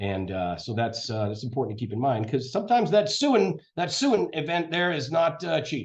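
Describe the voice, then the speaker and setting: A somewhat breathy man with an American accent, medium pitch, very wide pitch swings and a fairly quick pace. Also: hardly any pauses. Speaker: lawyer. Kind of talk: lecture. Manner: fast.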